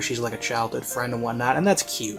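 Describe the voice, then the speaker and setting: Music plays in the background as a man speaks. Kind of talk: review commentary to camera. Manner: casual, conversational, emphatic.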